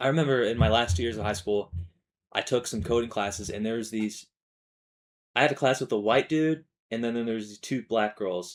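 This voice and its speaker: A man's medium-pitched voice with ordinary pitch variation, fairly quick pace and long, frequent pauses, on a very clean recording with a silent background. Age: 20s. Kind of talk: personal monologue vlog. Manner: halting, many false starts and fillers; casual, informal.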